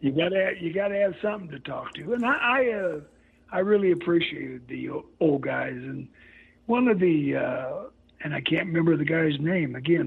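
The speaker talks at a moderate pace with a Midwestern US accent. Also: man. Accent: US Midwest. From Missouri, St. Joseph. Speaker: retired pro wrestler. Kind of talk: interview.

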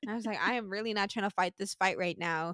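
Speech comes at a very fast pace in an American accent. The recording is very clean and dry, close with no echo and a silent background. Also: woman. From Sint Maarten. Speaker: podcast host. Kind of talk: casual conversational interview.

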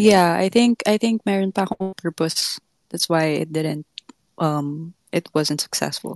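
A woman's fairly low voice with a Filipino accent, ordinary pitch variation and a fairly slow pace, in a dry, close sound with no echo. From Philippines. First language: Tagalog. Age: 20s. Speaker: caller. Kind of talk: casual chat.

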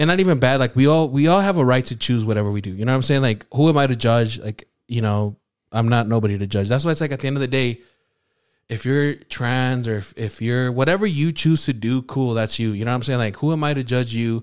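He talks very fast. His voice sits at a medium pitch. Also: ordinary pitch variation. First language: not English. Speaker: podcast co-host. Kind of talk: casual chat.

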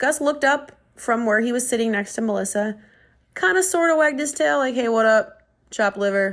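Recorded very cleanly against a silent background, a woman with an American accent talks at a fairly high pitch. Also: lively intonation, fairly quick pace. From Minnesota. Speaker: podcast host. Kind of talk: casual solo monologue.

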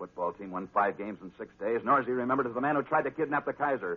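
Talking at a fast pace, a man uses lively intonation, a fairly low pitch and a slightly husky edge.

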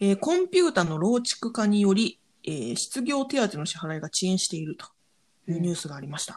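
A woman talks at a fairly quick pace, her pitch swinging very widely and her loudness rising and falling sharply. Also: medium pitch for a woman. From Japan. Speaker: podcast host. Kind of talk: news digest with casual commentary.

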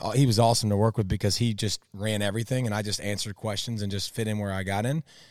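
The recording is very clean and the background silent. The voice is a man's. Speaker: former pro athlete and co-host. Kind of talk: casual chat. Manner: loud, animated.

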